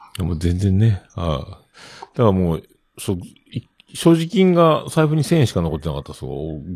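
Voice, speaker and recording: Very deep and low in pitch, a man speaks at a moderate pace with very wide pitch swings. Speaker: podcast host. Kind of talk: casual chat. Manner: relaxed, chatty.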